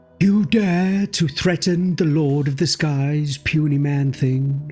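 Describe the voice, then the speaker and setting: Over faint music in the background, a man puts on a character voice with a fairly high pitch at a fairly slow pace. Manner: bellowing, imperious, scornful.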